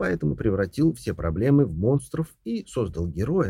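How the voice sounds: The clip presents a natural reading voice.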